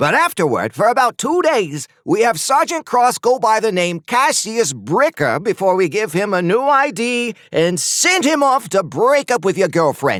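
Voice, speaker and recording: Doing a whiny put-on character voice, a man speaks at a high pitch with very wide pitch swings, very even loudness and hardly any pauses at a moderate pace, the sound dry and close with no echo. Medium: read story. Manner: glib.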